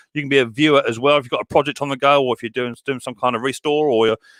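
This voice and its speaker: Speaking at a very fast pace, a man uses an English accent. His pitch is fairly high. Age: 40s. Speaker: YouTuber hosting live stream. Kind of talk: casual live stream chat. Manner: animated, repetitive.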